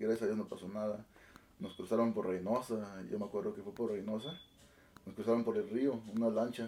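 At a fairly quick pace, a man speaks in a dark, mellow tone at a medium pitch. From Oaxaca, Sierra Juárez, Mexico. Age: 20s. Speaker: band musical director. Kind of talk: casual interview.

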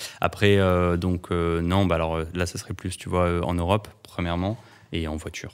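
A man talks at a moderate pace in a very deep, low pitch. His intonation is monotone and flat. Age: 20s. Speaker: photographer. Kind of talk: interview conversation. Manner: hesitant with fillers.

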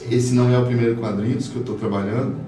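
Room echo is audible in this recording. Background noise is noticeable too. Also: man. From Boa Vista, Roraima, northern Brazil. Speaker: comic artist. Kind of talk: casual interview. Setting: studio.

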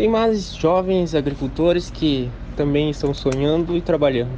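A man's fairly high voice at a moderate pace, with noticeable background noise. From Santa Catarina, Brazil (Midwest region). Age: 20s. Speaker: young farmer and beekeeper. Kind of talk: interview testimony.

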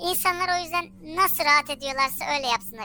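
With a raised, projected voice, a woman speaks in a bright, sharp tone and lively intonation. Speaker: anonymous social media humor account owner, office worker. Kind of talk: casual interview chat.

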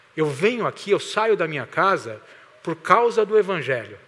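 This man's voice sits high and carries lively intonation. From Greater São Paulo (Santo André). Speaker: pastor. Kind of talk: sermon.

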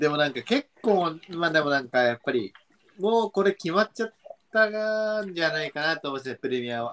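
Dry and close with no echo, a man's high-pitched voice swings very widely in pitch at a moderate pace. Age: 20s. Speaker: football podcast co-host. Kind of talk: casual chat. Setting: at home.

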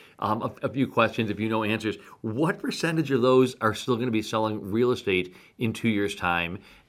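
Recorded very cleanly against a silent background, a man with an American accent talks at a fairly quick pace, medium in pitch, with ordinary pitch variation. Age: 50s. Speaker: real estate agent and podcast co-host. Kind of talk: casual chat. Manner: halting, many repeated words.

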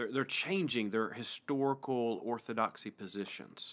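A man speaks at a medium pitch in an East Tennessee accent. The recording is very clean, with a silent background. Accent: East Tennessee Southern US. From US South, East Tennessee. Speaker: pastor and podcast host. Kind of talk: casual interview conversation. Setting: church pastoral study, studio.

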